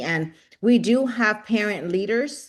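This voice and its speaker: Heard against a quiet background, a woman with an American accent uses a normal speaking voice at medium pitch with lively intonation. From Rio Grande Valley, Texas. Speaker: nonprofit leader. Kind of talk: panel discussion.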